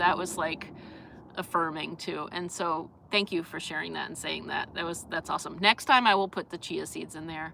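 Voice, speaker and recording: A woman with an East Coast US accent talks at a fairly quick pace, with a fairly low pitch. Her tone is bright and sharp, and her intonation is fairly even. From US East Coast. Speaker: vlogger. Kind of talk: casual live stream chat. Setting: live stream. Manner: halting, many fillers and restarts.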